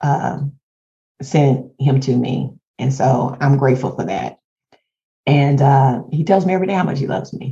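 A woman's very deep, low-pitched voice, dark and mellow in tone and somewhat breathy, at a fairly slow pace. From Houston, Texas. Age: 50s. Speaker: podcast co-host. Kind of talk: casual chat.

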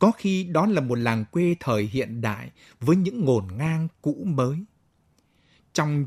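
Recorded very cleanly against a silent background, a man speaks at a fairly slow pace in a somewhat breathy voice with very wide pitch swings, the sound dry and close with no echo. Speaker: radio announcer. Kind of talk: radio announcement.

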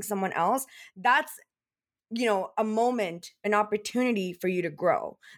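An unremarkable speaking voice from a woman, fairly high in pitch with ordinary pitch variation at a fairly slow pace, on a very clean recording over a silent background. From Canada. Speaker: image and confidence coach. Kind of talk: casual interview.

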